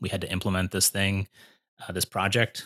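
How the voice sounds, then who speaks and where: A man with an American accent, in a very clean recording against a silent background. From Pennsylvania, US. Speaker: person in recovery from alcohol. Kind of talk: casual interview.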